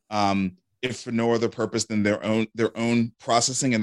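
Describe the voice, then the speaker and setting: Recorded very clean with a silent background and a dry, close sound with no echo, a man speaks with a New York accent. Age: 40s. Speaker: entrepreneur and venture capitalist. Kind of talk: interview conversation.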